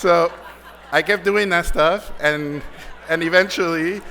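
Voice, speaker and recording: A high-pitched man speaks at a fairly slow pace with fairly even intonation. There is noticeable background noise. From Mexico (Mexico City, Tijuana). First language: Spanish. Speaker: animation director. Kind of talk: award acceptance speech. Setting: stage with audience. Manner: halting, many repeated words.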